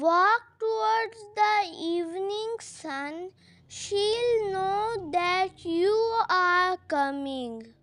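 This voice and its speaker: A woman uses a put-on character voice at an extremely high pitch. She goes at a very slow pace with lively intonation. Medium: read story.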